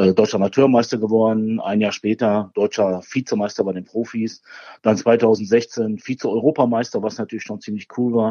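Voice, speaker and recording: Monotone, flat intonation from a man with a fairly low pitch. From Ruhr area, Germany (Bochum). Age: 40s. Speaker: barbecue champion and former carpenter. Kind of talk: casual interview.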